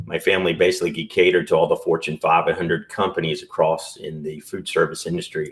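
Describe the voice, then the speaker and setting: Fairly quick male speech in a Southern US accent. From US South. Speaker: entrepreneur and business broker. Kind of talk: podcast interview.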